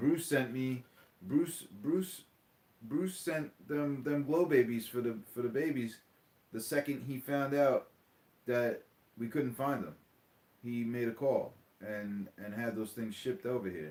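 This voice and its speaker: A man speaks at medium pitch with a Long Island accent and lively intonation. His speech has long, frequent pauses. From New York, Long Island. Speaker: diecast hobby YouTuber. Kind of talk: casual livestream chat. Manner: animated, repetitive.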